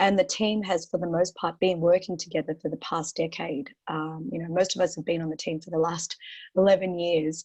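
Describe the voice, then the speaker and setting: Talking at a fairly quick pace, a woman with an Australian accent uses a fairly low voice and fairly even intonation. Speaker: portfolio manager. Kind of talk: webinar interview. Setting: online webinar. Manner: halting, many fillers.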